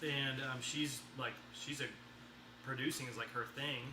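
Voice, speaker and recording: At a moderate pace, an American accent comes through audible room echo and noticeable background noise. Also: man. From Texas. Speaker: livestream co-host, musician's husband. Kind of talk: casual chat. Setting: livestream video at dinner table.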